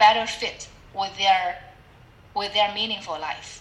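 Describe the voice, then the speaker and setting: With a Chinese accent, a woman talks at a medium pitch with fairly even intonation. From China (Shanghai). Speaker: public speaking club leader and team coach. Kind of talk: interview. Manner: halting, with fillers.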